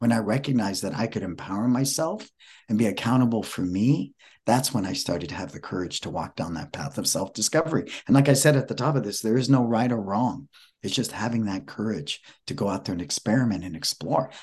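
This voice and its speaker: A man talks in a normal speaking voice at a fairly low pitch and a fairly quick pace. His intonation is lively, and the background is quiet. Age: 60s. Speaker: motivational speaker and author. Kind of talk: interview.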